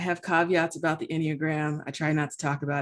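Someone with an American accent talks at a very fast pace on a very clean recording with a silent background. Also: woman. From United States, Haitian American family. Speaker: pastor and theology student. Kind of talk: casual conversation.

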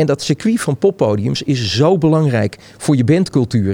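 A man's pitch swings very widely as he speaks at a moderate speed. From Netherlands, Hilversum. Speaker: festival designer and DJ. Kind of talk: casual interview chat.

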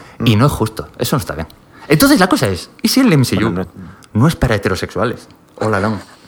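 Over noticeable background noise, a man at a medium pitch speaks very fast with lively intonation. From Spain, Galicia (Pontevedra). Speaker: podcast guest. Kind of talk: casual chat.

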